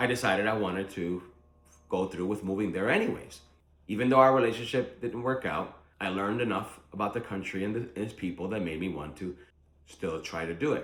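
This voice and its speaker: A man with an unremarkable speaking voice, a fairly low pitch, ordinary pitch variation and a fairly quick pace. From Philadelphia, US (Puerto Rican born). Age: 40s. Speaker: vlogger planning to move abroad. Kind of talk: casual vlog monologue. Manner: conversational with frequent fillers.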